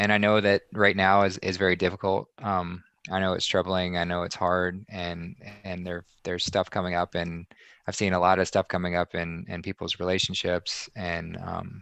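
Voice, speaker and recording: This man has an American accent and a very deep, low pitch, speaking at a moderate pace in a monotone, flat way. The sound is dry and close with no echo, over a quiet background. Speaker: spiritual community guest. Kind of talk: casual chat. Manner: concise.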